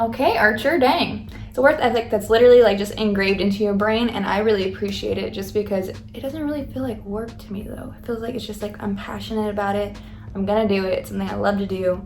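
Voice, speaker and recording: Over noticeable background noise, a woman with an American accent talks at a very fast pace with big swings in loudness. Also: hardly any pauses. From Coolidge, Arizona. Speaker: farmer. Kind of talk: casual talk to camera. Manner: fast, rambling.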